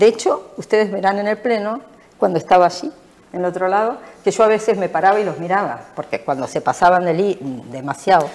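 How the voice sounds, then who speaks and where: Noticeable background noise sits under a woman's voice. She talks at a fairly quick pace and medium pitch with lively intonation. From Argentina. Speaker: local politician. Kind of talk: interview.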